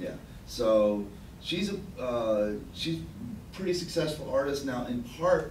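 Lively in intonation, a man with an American accent speaks over light background noise with audible room echo. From New York. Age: middle-aged. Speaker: writer and curator. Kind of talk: lecture. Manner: casual. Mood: relaxed, self-deprecating. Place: meeting room.

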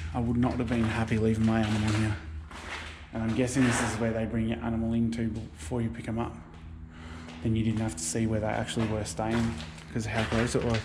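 A man speaks at a fairly quick pace as noticeable background noise persists. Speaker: urban explorer vlogger. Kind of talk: casual vlog chat. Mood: joking, amused. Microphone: phone near.

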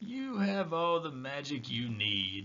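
In a put-on character voice, someone talks at a fairly slow pace with very wide pitch swings. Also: man. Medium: read story. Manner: calm, gentle, warm.

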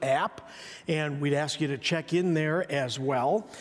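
Moderate pacing from a man. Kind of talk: church announcements. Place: church.

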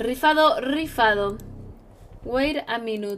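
Over light background noise, a woman speaks in a raised, projected voice with lively intonation. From Mexico, State of Mexico (Edomex). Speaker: gaming streamer. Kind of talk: live gaming stream chat. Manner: animated. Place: home room.

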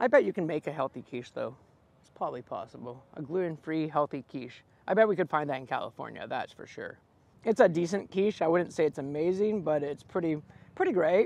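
A man talks at a fairly quick pace with lively intonation and big swings in loudness. The sound is dry, with no echo. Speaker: food vlogger. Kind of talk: casual food review vlog chat. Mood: cheerful, playful. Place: open country. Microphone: lapel.

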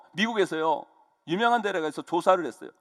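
High in pitch, a man talks in an animated tone with lively intonation, heard in a dry, close sound with no echo. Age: 50s. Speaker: pastor. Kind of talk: sermon.

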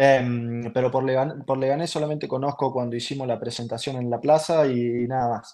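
Pitched at a medium level, a man with a Rioplatense accent speaks in a dark, mellow tone and monotone, flat intonation at a moderate pace with hardly any pauses, over a quiet background. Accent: Argentine Spanish (rioplatense). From Argentina. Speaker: professional footballer; guest. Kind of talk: interview. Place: home room. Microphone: video call.

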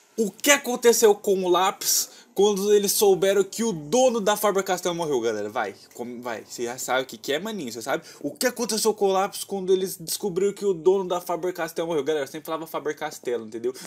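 At a fairly quick pace with hardly any pauses, a man with a high pitch makes very wide pitch swings. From Brazil. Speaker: gaming youtuber. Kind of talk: gameplay commentary. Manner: animated. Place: home room.

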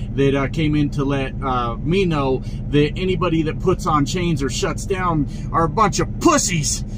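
There is noticeable background noise as a man speaks. His pace is moderate and his pitch variation ordinary. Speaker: truck driver vlogger. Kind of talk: casual vlog chat. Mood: exasperated, mocking. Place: car. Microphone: phone near.

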